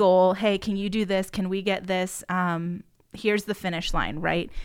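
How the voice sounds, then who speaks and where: The recording is very clean, with a silent background. A woman speaks at medium pitch and a moderate pace. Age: 20s. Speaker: podcast co-host. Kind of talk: casual chat. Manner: animated.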